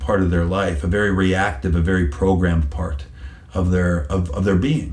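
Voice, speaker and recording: The man's voice is very deep and low, with vocal fry. He speaks at a moderate pace, and there is audible room echo. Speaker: psychic medium. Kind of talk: interview answer. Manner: repetitive, hesitant starts; animated.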